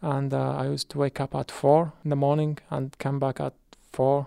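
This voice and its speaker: A man with an Arabic accent and fairly high pitch, in a dry, close sound with no echo and a very clean recording with a silent background. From Iraq. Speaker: refugee, former teacher. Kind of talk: testimony.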